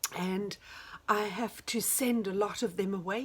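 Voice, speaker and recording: A woman's somewhat breathy, fairly high-pitched voice with ordinary pitch variation. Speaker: knitting and crafts vlogger. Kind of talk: casual chat. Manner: halting.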